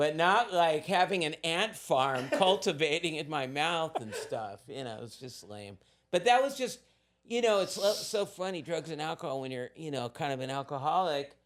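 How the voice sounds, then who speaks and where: An animated man's voice, fairly high in pitch, at a moderate pace, with very wide pitch swings and big swings in loudness. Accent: American. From Southern California. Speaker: recovering addict and surf art business owner. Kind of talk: casual interview storytelling.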